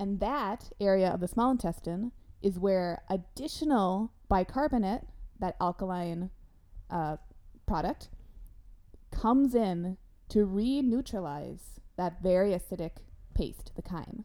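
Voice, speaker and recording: A woman's medium-pitched voice, dark and mellow in tone, with lively intonation, a fairly slow pace, long frequent pauses, and a very clean recording over a silent background. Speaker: nutritional therapy practitioner, podcast host. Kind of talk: casual chat. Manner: animated.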